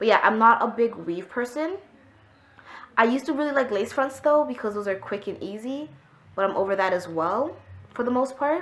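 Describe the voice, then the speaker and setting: Lively intonation carries this woman's speech, broken by long, frequent pauses. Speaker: beauty vlogger. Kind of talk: casual vlog talk. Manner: loud; animated.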